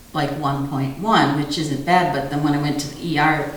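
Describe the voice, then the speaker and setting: With audible room echo and noticeable background noise, a woman speaks at a moderate pace in a very deep, low pitch and fairly even intonation. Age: 60s. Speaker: vasculitis patient. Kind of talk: interview testimony. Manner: halting.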